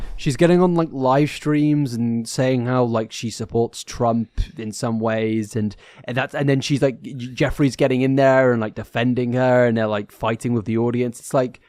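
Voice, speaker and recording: A man with a British accent at a moderate pace. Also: medium pitch for a man. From UK. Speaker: podcast co-host. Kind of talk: casual chat. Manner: animated.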